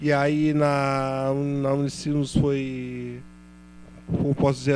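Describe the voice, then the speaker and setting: A man's fairly high voice in monotone, flat intonation. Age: 20s. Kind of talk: panel talk at public event. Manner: halting, repeats words.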